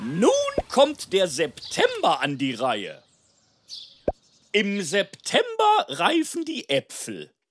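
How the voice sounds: A cartoonish character voice at a slow pace with very wide pitch swings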